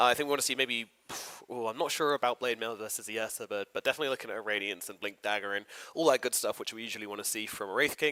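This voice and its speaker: A man's medium-pitched voice with a British accent, bright, sharp and energetic, very fast, with ordinary pitch variation and a dry, close sound with no echo. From Britain. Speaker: esports commentator. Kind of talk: live commentary. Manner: casual, energetic.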